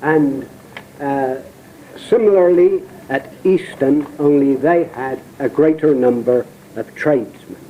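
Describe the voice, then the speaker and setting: Amid noticeable background noise, a man with a Dorset accent and fairly high pitch speaks at a very slow pace with ordinary pitch variation and long, frequent pauses. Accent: Portland dialect, Dorset. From Isle of Portland, Dorset. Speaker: poet and raconteur. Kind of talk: spoken introduction, local history reminiscence.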